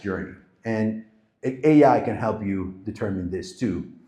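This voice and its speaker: A man talks at a medium pitch with lively intonation. Audible room echo surrounds his voice. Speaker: marketing agency founder giving a talk. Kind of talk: live presentation to an audience. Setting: stage with audience.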